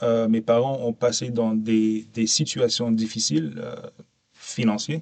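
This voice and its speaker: Speaking very slowly with a non-native accent, a man keeps a medium pitch with ordinary variation. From Canada (Ontario/Quebec) and Abu Dhabi. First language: English (speaking French). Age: 40s. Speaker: podcast guest, safety professional. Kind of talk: interview conversation. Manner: hesitant, many fillers.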